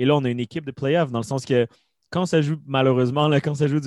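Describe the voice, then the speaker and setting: Against a quiet background, a man talks at a fairly quick pace at a medium pitch with ordinary pitch variation, the sound dry and close with no echo. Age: 20s. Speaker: hockey commentator. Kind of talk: casual chat.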